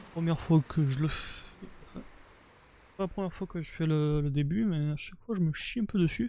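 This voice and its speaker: Here a man is soft-spoken. He takes a fairly slow pace. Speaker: video game streamer. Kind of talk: casual gameplay commentary. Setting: live stream. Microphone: mic set to cut background noise, quiet when low.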